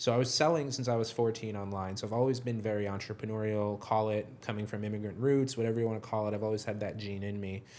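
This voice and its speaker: The speaker talks at a very fast pace with a New York accent, fairly even intonation and hardly any pauses. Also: man, fairly low pitch for a man. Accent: New York American. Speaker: software company co-founder. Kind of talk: interview conversation. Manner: low energy.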